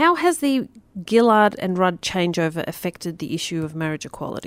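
This woman has a normal speaking voice, medium in pitch, with lively intonation at a moderate pace. The recording is very clean, with a silent background. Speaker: radio host. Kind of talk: radio show interview, casual chat. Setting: studio. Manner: chatty, upbeat, laughing.

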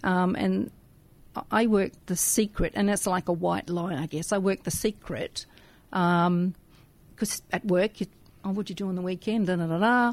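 With an Australian accent, a woman talks at a moderate pace and medium pitch, using fairly even intonation and long, frequent pauses, in a very clean recording with a silent background. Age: 60s. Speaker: radio volunteer. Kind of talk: casual chat. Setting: studio.

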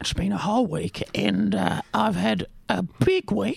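Putting on a character voice, a man talks raspily at a fairly slow pace and fairly low pitch, the sound dry and close with no echo.

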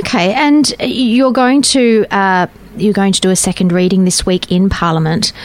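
With an Australian accent, a woman at medium pitch talks at a moderate pace with lively intonation and very even loudness over noticeable background noise. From Western Australia. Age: 40s. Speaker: radio host. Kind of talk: casual chat. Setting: studio.

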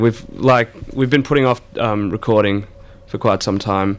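With an Australian accent, a man talks at a fairly slow pace and a fairly low pitch. His intonation stays fairly even over noticeable background noise. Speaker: band member. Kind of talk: casual radio interview chat. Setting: studio. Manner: laid-back, hesitant, filler-heavy.

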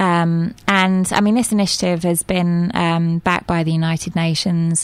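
Fairly slow speech comes from a woman with a southern English accent. Her pitch is fairly low. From southern England (Reading). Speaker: media producer and volunteer organiser. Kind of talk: radio interview. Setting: radio studio.

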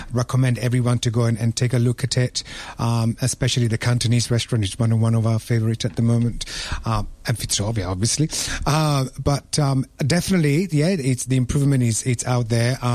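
A man speaks at a very fast pace. His loudness stays very even. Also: medium pitch for a man, ordinary pitch variation. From Italy, Rome. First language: Italian. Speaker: restaurant owner. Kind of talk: radio panel discussion.

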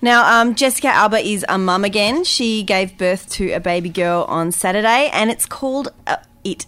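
A woman with an Australian accent talks at a moderate pace and a fairly high pitch, with lively intonation, hardly any pauses and noticeable background noise. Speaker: radio host. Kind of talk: casual radio panel chat.

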